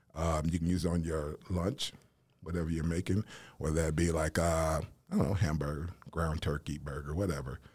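Here a man with an American accent has a very deep, low, somewhat breathy voice. His delivery is fairly quick and monotone, with flat intonation. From US South, Nashville, Tennessee. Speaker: Air Force veteran and spice business owner. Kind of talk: casual interview.

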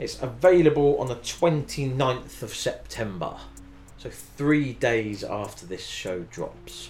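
With a British accent, a man speaks at a very slow pace with big swings in loudness. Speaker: radio host. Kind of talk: radio dj patter. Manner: laid-back banter; casual, upbeat, chatty.

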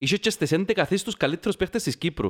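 With a Cypriot accent, a man speaks in a high voice, recorded dry and close with no echo. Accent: Cypriot Greek. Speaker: football podcast host. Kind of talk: casual chat.

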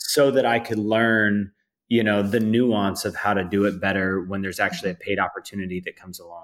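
At a fairly quick pace, a man with a fairly low pitch talks with fairly even intonation and big swings in loudness. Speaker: filmmaker. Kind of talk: casual interview chat.

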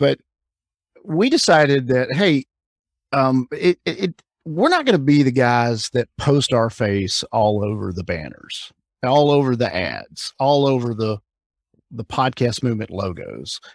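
In an American accent, a man with an unremarkable speaking voice talks at a fairly slow pace and medium pitch with lively intonation. The sound is dry and close, with no echo. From Alabama, US South. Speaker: conference co-founder. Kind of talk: interview.

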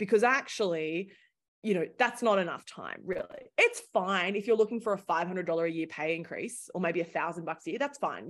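A woman with an Australian accent speaks at a fairly quick pace with lively intonation against a quiet background. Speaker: startup founder, former journalist. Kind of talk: interview conversation.

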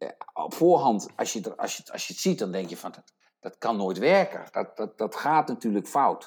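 A man is speaking. His loudness swings a lot. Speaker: podcast co-host. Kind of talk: casual chat.

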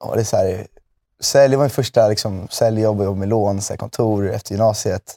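A man with a normal speaking voice, fairly low in pitch, at a fairly quick pace with fairly even intonation. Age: 20s. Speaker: music manager. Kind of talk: casual interview. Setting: studio.

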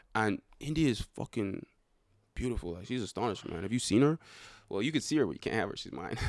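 In an animated tone with big swings in loudness, a man talks at a very fast pace and medium pitch in a dry, close sound with no echo. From Ireland, Dublin (born in Nigeria, left at about three). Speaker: reality TV contestant. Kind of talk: casual chat. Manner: animated, joking.

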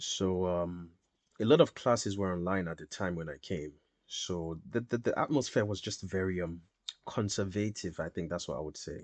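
A man speaks at a moderate pace in a very deep, low voice. His pitch varies in an ordinary way. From Nigeria (Lagos). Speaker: musician and student. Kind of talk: casual interview.

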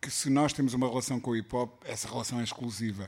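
A man with an ordinary speaking voice, at a fairly quick pace with fairly even intonation. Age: 50s. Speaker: music journalist. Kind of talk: live interview before audience. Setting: record store with live audience.

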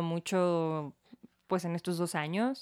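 In a Mexican accent, a woman talks at a fairly low pitch. The very clean recording has a silent background and a dry, close sound with no echo. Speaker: podcast co-host. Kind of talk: casual chat.

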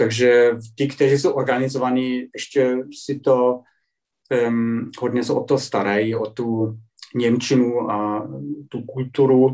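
A very slow, monotone male voice with flat intonation, a dark, mellow tone and a German accent. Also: medium pitch for a man. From Germany, Dresden (Saxony). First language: German (speaking Czech). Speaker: journalist. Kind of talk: interview. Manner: halting.

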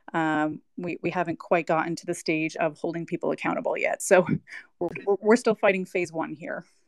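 A woman speaks in a plain, everyday voice with an American accent, fairly low in pitch with ordinary variation. Her pace is moderate, and the sound is dry and close with no echo. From New York. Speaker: attorney. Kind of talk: panel discussion. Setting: online audio room.

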